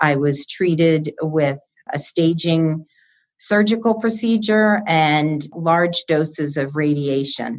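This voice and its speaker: Her voice is very deep and low, a woman with an American accent. She talks at a very slow pace. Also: ordinary pitch variation. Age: 60s. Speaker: cancer survivor. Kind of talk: interview.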